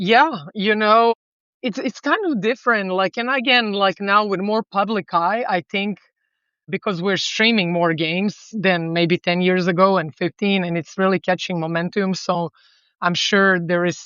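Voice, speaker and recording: A woman with a Serbian accent, medium pitch, ordinary pitch variation and a moderate pace. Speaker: volleyball coach. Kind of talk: podcast interview.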